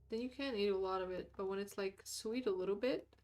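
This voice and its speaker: With an American accent and a relaxed tone, a woman talks at a fairly quick pace, her pitch medium with ordinary pitch variation. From outside the US. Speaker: vtuber art streamer. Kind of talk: casual live stream chat. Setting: live stream. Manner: relaxed, meandering.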